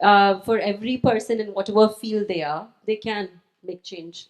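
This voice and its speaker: In a quiet background, a woman speaks at a medium pitch with ordinary pitch variation. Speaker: author. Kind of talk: panel discussion. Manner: fast.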